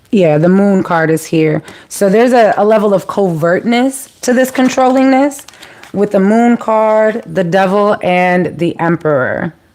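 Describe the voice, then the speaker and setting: Speaking at a fairly slow pace, a woman uses a medium pitch and lively intonation with very even loudness. Noticeable background noise runs underneath. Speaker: tarot reader. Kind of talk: live tarot reading. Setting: livestream. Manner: casual, chatty.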